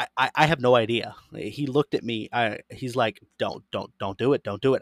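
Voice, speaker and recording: An ordinary speaking voice with an American accent and ordinary pitch variation comes through a very clean, dry, close recording with no echo and a silent background. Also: man. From Florida. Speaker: podcast host. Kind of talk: reading aloud; casual chat.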